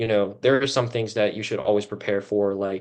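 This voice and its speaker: Against a quiet background, a man talks at a fairly quick pace. His pitch is fairly low, and his intonation is monotone and flat. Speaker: student club officer. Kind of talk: podcast panel discussion. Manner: loud, outgoing; casual with many fillers.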